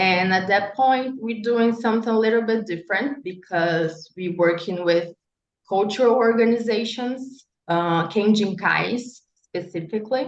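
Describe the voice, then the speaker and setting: Here a woman speaks with a Brazilian Portuguese accent at a medium pitch. She goes at a fairly slow pace with ordinary pitch variation. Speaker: architect and urban researcher. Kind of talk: panel talk. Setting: panel event. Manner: halting, many fillers.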